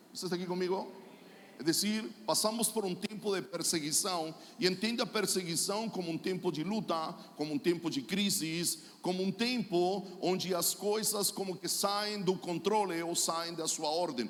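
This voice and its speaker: In a Chilean accent, a man with a high pitch speaks at a moderate pace with ordinary pitch variation, amid noticeable background noise and audible room echo. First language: Spanish (speaking Portuguese). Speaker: pastor and prophet. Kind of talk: sermon.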